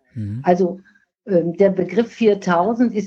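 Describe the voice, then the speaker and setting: Somewhat breathy, a woman's dark, mellow voice sits at a medium pitch with ordinary pitch variation. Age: 60s. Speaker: nursing scientist and professional association president. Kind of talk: podcast interview.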